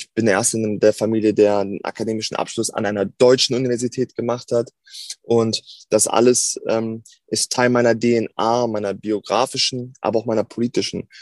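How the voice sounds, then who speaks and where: Over a quiet background, a man speaks at a moderate pace in a medium pitch with monotone, flat intonation, the sound dry and close with no echo. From Germany, Hannover. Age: 20s. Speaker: politician. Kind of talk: interview.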